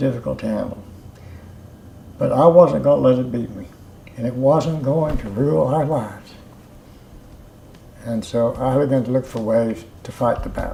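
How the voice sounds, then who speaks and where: A man speaks with ordinary pitch variation and long, frequent pauses. The recording has audible room echo and noticeable background noise. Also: medium pitch for a man, moderate pace. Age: 80s+. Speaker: customer giving testimonial. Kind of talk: testimonial interview. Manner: halting, many fillers and repetitions.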